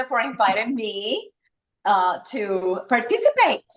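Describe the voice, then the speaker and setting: A woman talks at a very slow pace with a slight Puerto Rican accent. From Puerto Rico. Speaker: wellness entrepreneur and esthetician. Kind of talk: casual interview chat. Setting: live stream video call. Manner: halting, many fillers.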